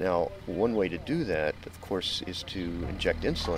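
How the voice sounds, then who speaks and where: A man is speaking with music in the background. The sound is dry, with no echo. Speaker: interviewee. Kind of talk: interview answer. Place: garden.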